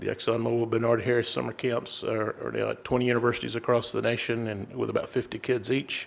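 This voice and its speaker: Speaking very fast with hardly any pauses, a man with a Texas accent rushes through his words. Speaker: corporate sponsor representative. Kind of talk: introduction speech.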